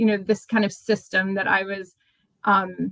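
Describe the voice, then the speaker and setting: Her tone is bright and sharp. This woman talks in an American accent. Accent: sounds very American. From Australia, moved to US young. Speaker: nonprofit manager. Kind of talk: interview. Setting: remote call. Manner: halting, many fillers.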